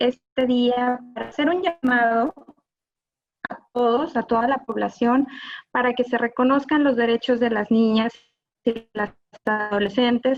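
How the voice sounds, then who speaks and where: In a Mexican accent, a woman speaks at a fairly slow pace with a high pitch, fairly even intonation, and long, frequent pauses. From Mexico. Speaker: gender violence specialist, lawyer. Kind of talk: live panel talk.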